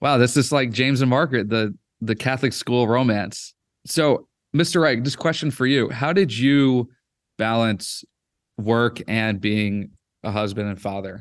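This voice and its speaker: An unremarkable speaking voice from a man at a fairly slow pace, medium in pitch with ordinary pitch variation, against a quiet background. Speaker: podcast host. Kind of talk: casual interview.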